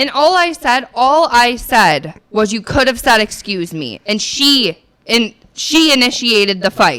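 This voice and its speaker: Loud and animated, a woman speaks fairly slowly at a fairly high pitch, her voice swinging very widely in pitch with hardly any pauses. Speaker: podcast co-host. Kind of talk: heated debate.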